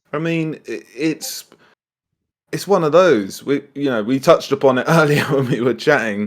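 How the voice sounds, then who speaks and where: A man with a British accent, fairly high pitch, ordinary pitch variation and a moderate pace. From UK. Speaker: online furry meet host. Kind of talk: casual chat. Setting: online voice chat.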